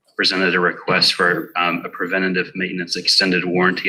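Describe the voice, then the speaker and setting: Over noticeable background noise, a man with a very deep, low voice speaks very fast in a flat monotone. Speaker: emergency services staff. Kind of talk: budget presentation. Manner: soft-spoken.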